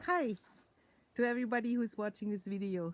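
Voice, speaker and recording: With a German accent, a woman speaks at a medium pitch with ordinary pitch variation. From Germany. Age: 60s. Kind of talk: personal testimony.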